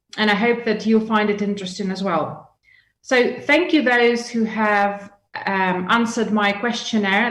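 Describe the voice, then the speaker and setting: In a room with audible echo, a woman with a fairly high voice speaks at a moderate pace with ordinary pitch variation. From Russia, Yekaterinburg. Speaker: business expert and guest lecturer. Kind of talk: lecture.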